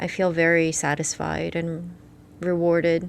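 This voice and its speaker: At a very slow pace, a woman speaks with a fairly low pitch and monotone, flat intonation. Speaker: psychologist. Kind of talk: casual chat.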